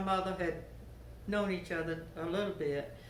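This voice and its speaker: A woman with a Georgia accent and a fairly low pitch is heard with audible room echo and noticeable background noise. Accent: Southern US, Georgia. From US South. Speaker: interviewee sharing life memories. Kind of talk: oral history interview.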